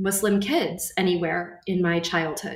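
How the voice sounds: Someone with an American accent speaks at a fairly slow pace. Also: woman.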